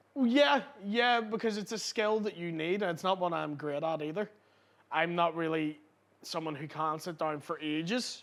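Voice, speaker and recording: Loud and high-pitched, a man speaks at a moderate pace with lively intonation on a very clean recording with a silent background. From Northern Ireland, East Belfast. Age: 20s. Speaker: comedian. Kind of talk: casual chat. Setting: pub.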